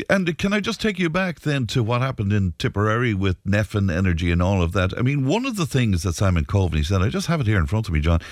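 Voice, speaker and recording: Speaking very fast with hardly any pauses, a fairly low-pitched man with an Irish accent keeps his loudness very even while his pitch swings very widely. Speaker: radio host. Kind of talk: radio talk show. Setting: studio.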